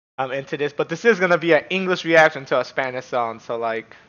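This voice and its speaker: A man speaks at a very fast pace. His pitch variation is ordinary. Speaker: streamer, reaction youtuber. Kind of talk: casual vlog chat. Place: home room.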